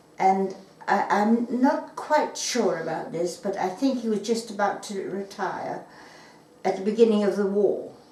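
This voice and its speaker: Noticeable background noise and audible room echo accompany this speaker. She is a woman talking at a fairly slow pace. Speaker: wartime witness. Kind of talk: oral history interview. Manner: halting.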